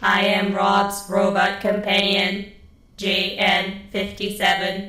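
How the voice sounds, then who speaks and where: A female-sounding voice at a medium pitch performs a put-on character voice at a fairly slow pace, with a slight echo. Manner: stiff, mechanical.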